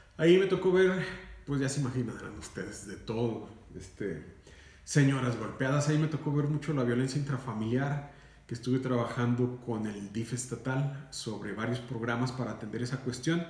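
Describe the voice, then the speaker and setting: A man at a moderate pace, with audible room echo and noticeable background noise. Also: medium pitch for a man, ordinary pitch variation. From Mexico, Durango. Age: 40s. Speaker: radio announcer and lawyer. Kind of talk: interview. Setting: recorded interview. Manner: formal.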